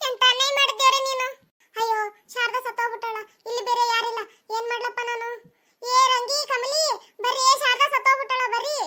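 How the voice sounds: In a cartoonish character voice, a woman speaks at a moderate pace with an extremely high pitch and a monotone, flat delivery.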